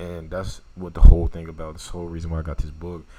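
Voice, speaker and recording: A man with a strong Louisiana accent talks very fast amid audible room echo. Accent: thick Louisiana. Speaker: YouTuber reviewing a book. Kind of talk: casual book summary talk. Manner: casual, conversational.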